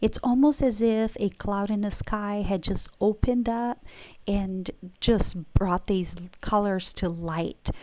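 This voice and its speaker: A woman's dark, mellow, medium-pitched voice moves at a very slow pace with ordinary pitch variation on a very clean recording with a silent background. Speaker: painter. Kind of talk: casual explanation to camera.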